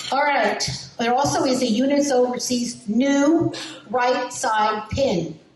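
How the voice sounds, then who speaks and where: A woman with a New Jersey accent speaks at a high pitch. Noticeable background noise and audible room echo fill the recording. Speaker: lineage society committee chair. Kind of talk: meeting presentation.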